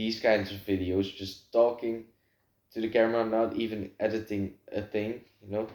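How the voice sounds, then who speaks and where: A man speaks with a Dutch accent. His pitch is medium. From Netherlands. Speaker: vlogger. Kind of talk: casual monologue to camera. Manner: halting, lots of filler words.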